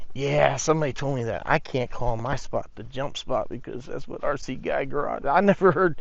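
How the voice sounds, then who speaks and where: Vocal fry runs through a man's fairly high voice as he speaks at a moderate pace with ordinary pitch variation. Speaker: RC car reviewer. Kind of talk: casual vlog. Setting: outdoors. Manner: animated.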